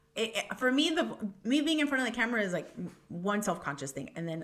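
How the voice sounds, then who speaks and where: An animated tone in a Miami accent, with very wide pitch swings. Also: woman. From Miami, Hialeah. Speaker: food blogger and content creator. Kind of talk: casual podcast interview.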